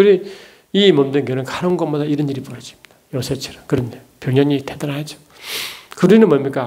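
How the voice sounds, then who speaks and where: A man with a fairly high pitch speaks at a fairly quick pace, with ordinary pitch variation and big swings in loudness. Long, frequent pauses break up his speech, and audible room echo surrounds it. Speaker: theology lecturer and preacher. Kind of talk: lecture. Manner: fast; animated.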